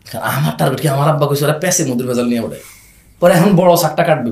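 A man is heard with audible room echo. Noticeable background noise is also present. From grew up abroad (Saudi Arabia), Bangladeshi family. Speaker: e-commerce founder. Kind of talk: casual interview. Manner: loud; animated.

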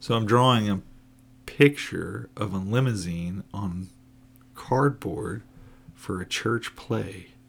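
A man with an American accent speaks very slowly, with long, frequent pauses. His pitch is fairly low, with ordinary variation. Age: 40s. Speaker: podcast co-host, forklift driver. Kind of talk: casual chat. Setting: home recording late at night.

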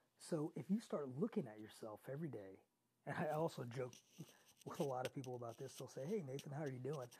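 At a very fast pace, a man with a fairly high pitch and a dark, mellow tone talks with lively intonation and a somewhat breathy quality. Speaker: podcast host. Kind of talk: solo motivational podcast monologue. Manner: conversational, motivating.

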